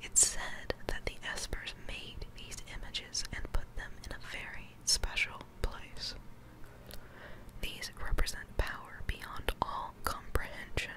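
Whispering and soft-spoken, the speaker goes at a very slow pace over noticeable background noise. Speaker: voice actor dubbing game dialogue. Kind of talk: dramatic character dialogue reading. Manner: soft whispered reading of game text.

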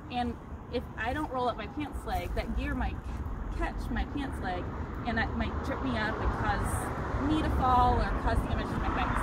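Loud background noise fills the recording. Over it, a woman speaks at a moderate pace. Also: dry sound with no echo. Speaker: bike tour guide. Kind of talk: tutorial. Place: open country. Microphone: camera far.

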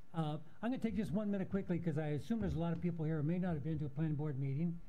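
This man talks at a very fast pace in a fairly high pitch. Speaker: planning board chairman. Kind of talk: chairing a public meeting. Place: hall. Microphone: podium.

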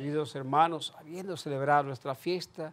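At a fairly quick pace, a man with fairly high pitch and a fairly bright tone speaks with fairly even intonation.

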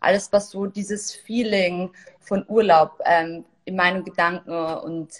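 A woman at a fairly slow pace with fairly even intonation. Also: fairly low pitch for a woman.

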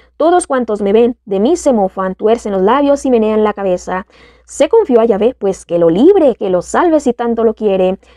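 A woman's fairly high-pitched voice with a dark, mellow tone, lively intonation and a moderate pace, in a dry, close sound with no echo. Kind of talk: scripted narration of psalm, fervent prayer.

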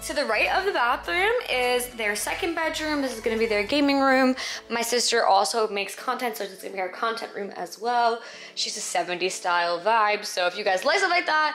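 Over light background noise, a woman speaks at a fairly quick pace with very wide pitch swings. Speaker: vlogger. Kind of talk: casual vlog chat. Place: home room. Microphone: phone near.

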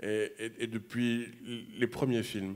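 Here a man speaks with monotone, flat intonation. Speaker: film programmer. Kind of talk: interview. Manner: halting. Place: stage. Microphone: handheld.

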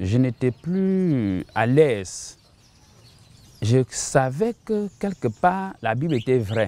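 A man with a medium pitch and a dark, mellow tone speaks at a very slow pace, his pitch swinging very widely. Long, frequent pauses break up the dry, echo-free sound. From Cameroon (Bamenda, anglophone northwest); Cameroon. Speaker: missionary pastor. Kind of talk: testimony. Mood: earnest, reflective testimony. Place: garden. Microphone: lapel.

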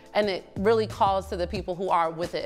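There is faint music in the background as a woman talks at a fairly quick pace. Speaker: panel host or guest. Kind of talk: panel discussion talk. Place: studio.

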